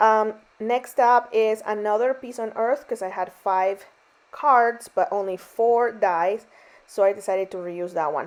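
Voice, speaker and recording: Against a quiet background, a woman talks at a fairly slow pace in a fairly high pitch with ordinary pitch variation. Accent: non-native. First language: not English. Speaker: card-making crafter. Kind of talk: craft tutorial voiceover. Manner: casual, chatty with fillers.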